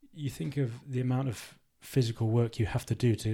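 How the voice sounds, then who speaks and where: In a very clean recording with a silent background, a man speaks at a moderate pace in a somewhat breathy voice with a dark, mellow tone and fairly even intonation. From Worcester, England. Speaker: retired rugby player, financial adviser. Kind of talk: casual interview. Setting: in person, socially distanced.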